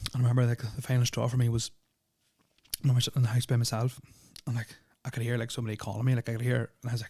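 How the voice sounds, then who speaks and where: Very fast, somewhat breathy male speech with a dark, mellow tone, monotone, flat intonation and long, frequent pauses. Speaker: podcast host. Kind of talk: storytelling. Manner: casual, hesitant with fillers.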